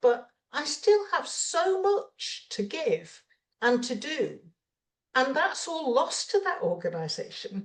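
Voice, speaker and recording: Speaking very slowly in an English accent, a woman lets her pitch swing very widely. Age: 70s. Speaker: retired executive and mentor. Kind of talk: interview.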